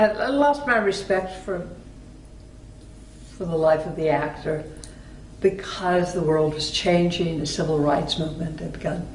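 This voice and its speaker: With noticeable background noise behind her, a woman speaks at a fairly slow pace. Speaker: actress. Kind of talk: interview answer.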